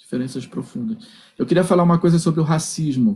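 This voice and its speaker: Speaking at a moderate pace, a man uses lively intonation in a dark, mellow, somewhat breathy tone. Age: 60s. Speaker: philosophy professor. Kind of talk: lecture. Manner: halting, with repetitions.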